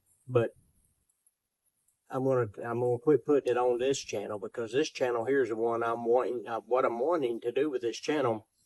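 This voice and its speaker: A man with a Southern US accent talks at a fairly quick pace and a medium pitch, his tone relaxed. The intonation stays fairly even, and the sound is dry and close with no echo. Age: 60s. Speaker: outdoor cooking and fishing YouTuber. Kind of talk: casual vlog talk. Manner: relaxed, rambling with repetitions.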